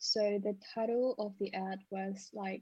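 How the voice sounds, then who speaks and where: Very slowly and somewhat breathily, a woman speaks at medium pitch in a dark, mellow tone with fairly even intonation. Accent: non-native. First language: not English. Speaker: former escort service receptionist, international student. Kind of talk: casual interview.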